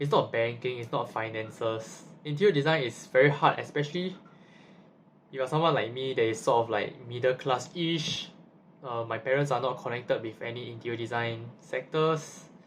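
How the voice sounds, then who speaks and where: A man talks at a moderate pace in a somewhat breathy voice, his pitch varying in an ordinary way. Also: medium pitch for a man. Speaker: university student vlogger. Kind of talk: casual vlog monologue. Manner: halting, with repetitions.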